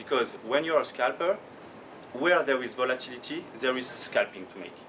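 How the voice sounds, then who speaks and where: A man with a French accent speaks amid audible room echo. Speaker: professional trader. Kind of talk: conference talk. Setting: conference stage. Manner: slow; halting.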